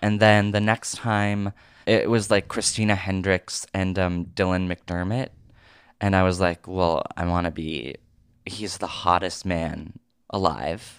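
On a very clean recording with a silent background, a man with an American accent speaks in a very deep, low pitch and fairly even intonation. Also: fairly slow pace. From Oregon, US. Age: 30s. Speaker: actor and comedian. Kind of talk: casual interview chat.

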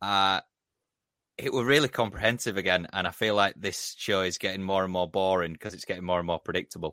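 On a very clean recording with a silent background, a man speaks at a very deep, low pitch in a bright, sharp tone with fairly even intonation. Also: fairly quick pace, dry, close sound with no echo. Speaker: podcast host. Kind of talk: casual banter podcast.

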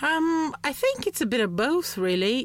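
A woman speaks in a Romanian accent. The recording is very clean, with a silent background. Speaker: communication skills trainer. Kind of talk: interview.

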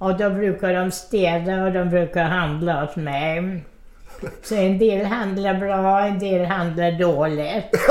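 A woman talks very slowly with fairly even intonation, with audible room echo and noticeable background noise. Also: medium pitch for a woman. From Odessa, Ukraine. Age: 90s. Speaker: centenarian interviewee. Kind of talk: life story interview.

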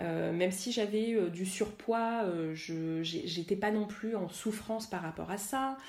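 A woman talks at a very slow pace with hardly any pauses, and audible room echo surrounds her voice. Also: medium pitch for a woman, ordinary pitch variation. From Paris suburbs, France. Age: 30s. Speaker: energy healer and workshop leader. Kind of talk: interview. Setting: home kitchen. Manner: animated.

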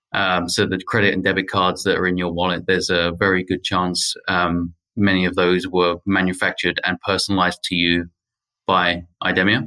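In a British accent, a man speaks at a moderate pace with a very deep, low pitch, a bright, sharp tone, monotone, flat intonation and very even loudness. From UK. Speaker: technology executive. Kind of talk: interview. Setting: remote call from Paris.

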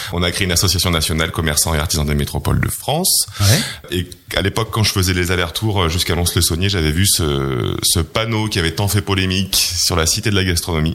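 A man with a very deep, low voice talks at a very fast pace, his intonation fairly even and loudness very even. Noticeable background noise can be heard. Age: 30s. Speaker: entrepreneur. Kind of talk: interview. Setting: office.

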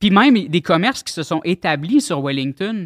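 On a very clean recording with a silent background and a dry, close sound with no echo, a man speaks fairly slowly at a high pitch. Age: 30s. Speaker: web artist and rapper. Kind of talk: casual chat.

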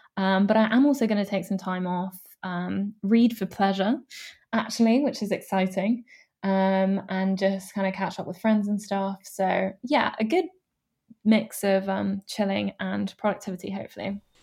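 At a moderate pace, a woman talks in a somewhat breathy, dark, mellow tone at a medium pitch with fairly even intonation. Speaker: student start-up founder. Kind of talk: interview.

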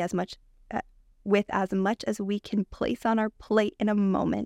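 In a very clean recording with a silent background, a woman speaks at medium pitch with fairly even intonation, the sound dry and close with no echo. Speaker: breathwork practitioner. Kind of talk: casual interview chat. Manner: fast talker.

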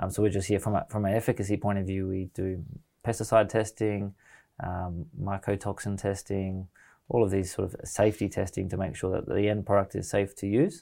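In an Australian accent, a man speaks fairly quickly with a dark, mellow tone and fairly low pitch, recorded very cleanly against silence. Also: fairly even intonation. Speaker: mushroom products business founder. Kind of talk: casual interview chat.

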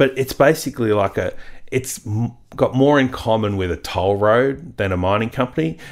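With an Australian accent, a man speaks at a moderate pace and medium pitch, using ordinary pitch variation on a very clean recording with a silent background. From rural Australia. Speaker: stock market analyst. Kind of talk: interview.

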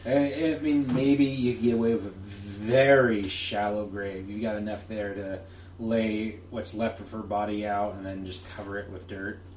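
Using a put-on character voice, a man drawls at a moderate pace and fairly low pitch, with ordinary pitch variation, big swings in loudness, and light background noise. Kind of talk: casual western campfire narration. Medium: actual play. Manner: laid-back, drawling, colloquial.

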